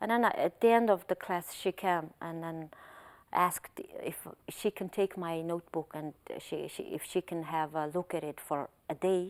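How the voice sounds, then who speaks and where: With a Mongolian accent, a woman with a fairly low pitch and fairly even intonation speaks at a moderate pace, with a dry, close sound, no echo, and a very clean recording with a silent background. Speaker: translator. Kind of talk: interview.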